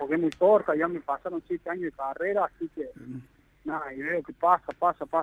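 With fairly even intonation, a man talks at a fairly quick pace in a high pitch, his loudness swinging widely. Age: 20s. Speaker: professional footballer. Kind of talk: interview.

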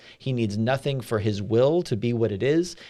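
This man's voice has a dark, mellow tone and a medium pitch. His intonation is lively. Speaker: church staff podcast host. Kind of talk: casual chat about a sermon.

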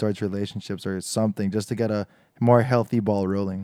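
This man has a dark, mellow tone and a fairly low pitch, with ordinary pitch variation. The recording is very clean and dry, close with no echo and a silent background. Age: 20s. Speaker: podcast host. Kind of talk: casual chat.

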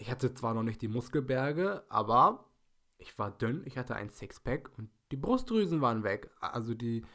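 A man speaks in a normal speaking voice at medium pitch and a moderate pace. His intonation is lively, with big swings in loudness. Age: 20s. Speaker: podcast host and fitness student. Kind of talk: solo podcast monologue.

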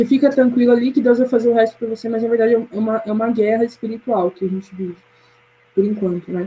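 This woman talks very fast in a fairly high pitch, her intonation fairly even. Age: 20s. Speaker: university student, media analyst. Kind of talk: casual chat.

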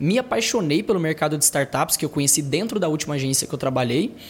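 A man talks fairly quickly with lively intonation and a fairly high pitch, noticeable background noise behind him. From Brazil, interior of Tocantins. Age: 20s. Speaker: startup founder. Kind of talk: casual interview.

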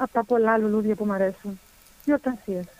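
A woman's voice is heard in a dry, close sound with no echo. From Germany. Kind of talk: interview. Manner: hesitant.

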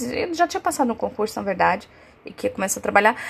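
A woman is heard with noticeable background noise around her voice. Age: 30s. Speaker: podcast host. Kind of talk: casual monologue. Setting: lying in bed at home.

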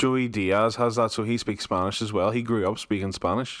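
A man with a Northern Irish accent talks at a fairly quick pace in an animated tone and a fairly low pitch. The recording is very clean, with a silent background. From Northern Ireland. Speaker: podcast host. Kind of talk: casual chat. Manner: animated, jokey.

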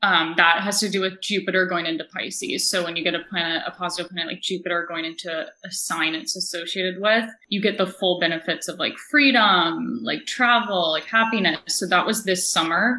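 A woman's medium-pitched voice at a fairly quick pace, hardly any pauses, ordinary pitch variation, and noticeable background noise. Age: 20s. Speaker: astrologer. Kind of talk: casual interview.

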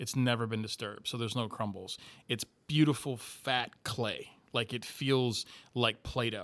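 In an American accent, a plain, everyday voice moves at a moderate pace with fairly even intonation. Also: man, medium pitch for a man. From Miami, Florida. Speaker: paranormal investigator and filmmaker. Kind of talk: casual interview chat.

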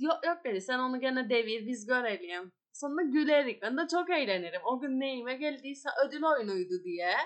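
The speaker has a Turkish Cypriot accent. The intonation is lively. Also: woman, high pitch for a woman, moderate pace. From Northern Cyprus. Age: 20s. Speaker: cooking show contestant and gastronomy lecturer. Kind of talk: casual interview.

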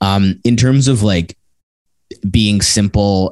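Here a man talks at a fairly low pitch. His intonation stays fairly even. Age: 30s. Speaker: brand storytelling marketer. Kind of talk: casual interview. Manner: hesitant, many fillers.

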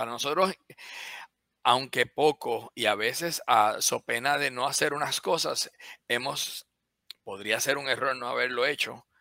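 A man's voice, dry and close with no echo, in a very clean recording with a silent background. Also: fairly slow pace. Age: 50s. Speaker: biomedical engineer and company CEO. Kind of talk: interview. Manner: halting, many repetitions.

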